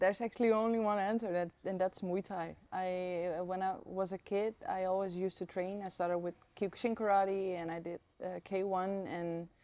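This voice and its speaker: Speaking at a moderate pace, a woman with a dark, mellow tone keeps a medium pitch and monotone, flat intonation. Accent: Dutch. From Netherlands. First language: Dutch. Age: 20s. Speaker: professional Muay Thai fighter. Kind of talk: interview answer.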